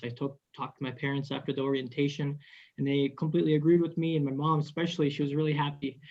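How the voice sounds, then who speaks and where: The man's somewhat breathy voice has a dark, mellow tone and a fairly high pitch. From Minnesota, US Midwest. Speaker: airman. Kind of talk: panel discussion. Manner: halting, many fillers.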